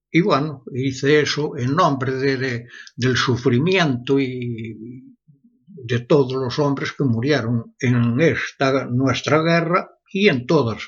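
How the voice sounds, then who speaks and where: A somewhat breathy man at a very slow pace, medium pitch, ordinary pitch variation. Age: 80s+. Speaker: blacksmith and metal artist. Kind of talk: interview. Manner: halting, repeats words.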